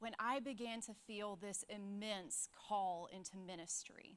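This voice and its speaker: The speaker talks at a fairly slow pace with a Southern US accent. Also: woman. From US South, Alabama. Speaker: church staff speaker. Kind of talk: sermon.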